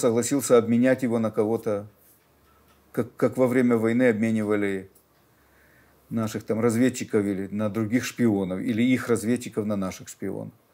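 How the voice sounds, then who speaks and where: A man with a dark, mellow tone at a moderate pace. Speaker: newspaper editor. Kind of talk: interview answer. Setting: studio. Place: studio.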